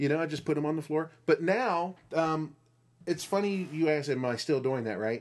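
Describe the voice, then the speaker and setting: A man using an ordinary speaking voice talks fairly high in pitch at a moderate pace, with ordinary pitch variation. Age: 40s. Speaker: podcast host. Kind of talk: casual chat.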